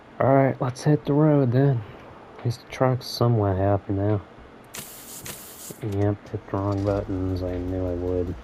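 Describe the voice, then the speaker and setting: A man speaks quietly at a fairly low pitch. His pace is moderate, with long, frequent pauses. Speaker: gaming YouTuber. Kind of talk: gameplay commentary. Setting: at home. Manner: monotone.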